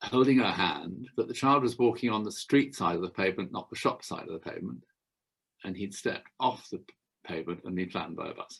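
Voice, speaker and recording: A man talks at a very fast pace with lively intonation and a fairly low pitch. His loudness swings widely from moment to moment. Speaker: kinesiologist. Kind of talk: interview.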